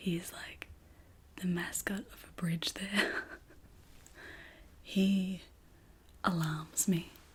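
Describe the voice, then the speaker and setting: A soft-spoken woman's fairly low voice at a very slow pace. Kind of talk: ASMR show and tell haul. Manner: excited, upbeat.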